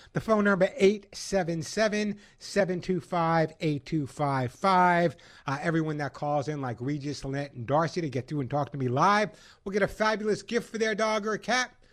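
This man has a high pitch, lively intonation and an animated, enthusiastic tone. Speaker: pet expert radio host. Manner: animated, punchy and salesy, with rhythmic catchphrases and repetition; fast-paced and enthusiastic, conversational and jokey.

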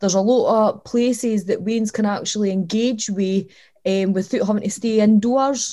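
In a southern Scottish accent, a woman speaks at a moderate pace with a fairly high pitch, a dark, mellow tone, fairly even intonation and very even loudness. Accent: southern Scottish (Dumfries). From Scotland, Dumfries (Lockside). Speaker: community organisation director. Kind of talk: casual interview.

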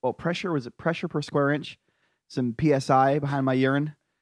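An ordinary speaking voice comes through with an American accent. The sound is dry and close with no echo, over a quiet background. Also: man. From rural US. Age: 30s. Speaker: podcast co-host. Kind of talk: casual comedic debate chat.

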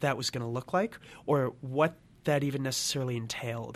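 At a moderate pace, a man with an American accent speaks in a normal speaking voice at a medium pitch. His intonation is fairly even, and the recording is very clean with a silent background. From Michigan. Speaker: college student. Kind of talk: interview.

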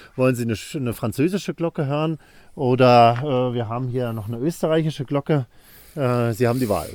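Speaking fairly quickly at a medium pitch, a man has an ordinary speaking voice with ordinary pitch variation on a very clean recording with a silent background. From northern Germany, island of Rügen (former East Germany). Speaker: bell researcher and theologian. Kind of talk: interview. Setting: soundproof bell laboratory.

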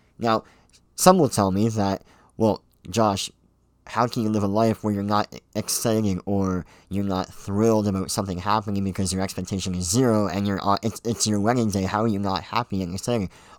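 With a Canadian accent, a man has a plain, everyday voice, a fairly low pitch, fairly even intonation and a fairly quick pace, recorded dry and close with no echo in a very clean recording with a silent background. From Ontario, Canada. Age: 20s. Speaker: podcaster. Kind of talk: casual monologue.

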